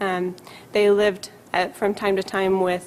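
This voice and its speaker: Her voice is a woman's medium pitch, delivered with monotone, flat intonation. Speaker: psychiatrist. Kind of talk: lecture. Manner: fast.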